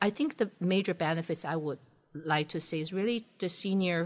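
On a very clean recording with a silent background, a woman with a Chinese accent speaks fast in a fairly low voice. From China, Shanghai. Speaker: engineering professor. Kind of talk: interview.

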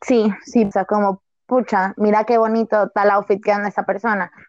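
This woman has a normal speaking voice. Her pitch sits fairly high. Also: dry, close sound with no echo. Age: 20s. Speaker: university student. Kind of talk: casual chat.

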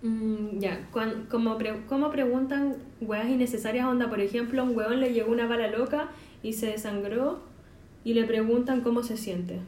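Fairly high-pitched woman's voice with a Chilean accent, fairly even intonation and audible room echo. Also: moderate pace. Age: 20s. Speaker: podcast host, journalism graduate. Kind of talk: casual chat.

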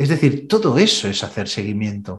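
This man's voice is somewhat breathy and moves at a moderate pace. His pitch swings very widely. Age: 50s. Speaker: sales trainer. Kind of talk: interview.

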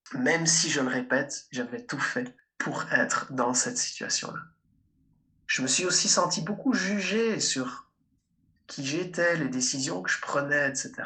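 Very slowly and with long, frequent pauses, a man speaks in a high, bright, sharp tone, his pitch swinging very widely. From Belgium, Liège. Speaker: speaker and coach. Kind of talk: interview.

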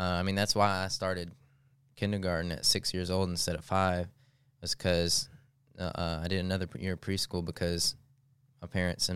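The recording is very clean, with a silent background. Delivery comes at a moderate pace with fairly even intonation. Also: man. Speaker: podcast co-host. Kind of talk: casual chat.

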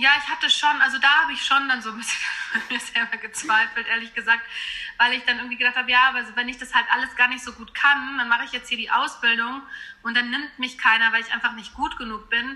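Very fast and flat in intonation, a woman with a high pitch speaks with big swings in loudness. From western Germany, small town. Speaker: singer. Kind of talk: interview.

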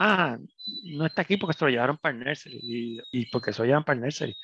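Speaking at a very fast pace with ordinary pitch variation, a man is heard in a dry, close sound with no echo. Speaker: pediatrician. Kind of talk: interview.

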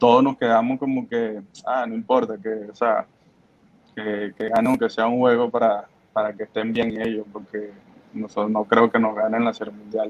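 A man's medium-pitched voice stays monotone and flat in intonation while moving at a moderate pace. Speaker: professional baseball pitcher. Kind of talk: interview. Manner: halting, many fillers and repetitions.

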